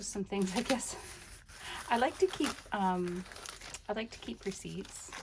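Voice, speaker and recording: A woman's relaxed tone at a fairly slow pace, with long, frequent pauses, big swings in loudness and noticeable background noise. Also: medium pitch for a woman. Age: 60s. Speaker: crafter / journaling video creator. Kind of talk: casual show-and-tell flip-through. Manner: relaxed, meandering with many fillers.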